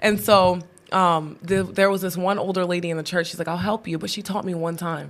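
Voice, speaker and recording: In an ordinary speaking voice, a woman talks at a fairly quick pace with fairly even intonation and a fairly low pitch, captured in a very clean recording with a silent background. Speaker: podcast host. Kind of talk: casual devotional chat. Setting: studio.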